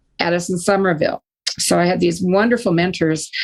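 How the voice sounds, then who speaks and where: A woman with an American accent speaks in a plain, everyday voice, fairly low in pitch and with fairly even intonation. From Northern California. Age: 60s. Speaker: retired psychologist and author. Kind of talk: interview.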